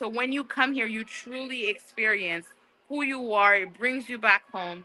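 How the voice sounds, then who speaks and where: A woman with a Haitian accent, fairly high pitch, ordinary pitch variation, a bright, sharp tone, and a moderate pace. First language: Haitian Creole. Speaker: museum staff giving a tour. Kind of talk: guided tour on livestream.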